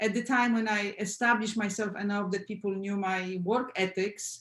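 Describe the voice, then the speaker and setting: A woman's somewhat breathy voice with fairly even intonation and a Polish accent. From Poland. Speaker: film sound editor. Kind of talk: panel discussion.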